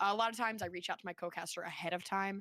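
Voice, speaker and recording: Speaking at a very fast pace, a woman has a medium-pitched voice with a bright, sharp tone, captured in a very clean recording with a silent background and a dry, close sound with no echo. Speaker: esports caster. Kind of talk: casual chat.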